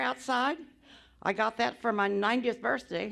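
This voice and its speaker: Woman at a moderate pace, fairly high in pitch, with vocal fry and a bright, sharp tone, on a very clean recording with a silent background. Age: 100. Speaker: agricultural business pioneer. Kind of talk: speech at celebration event. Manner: halting, repetitive.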